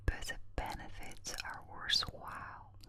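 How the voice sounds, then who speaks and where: A woman is whispering very slowly. Behind her there is noticeable background noise. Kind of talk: ASMR whisper reading, relaxation. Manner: whispered, soft.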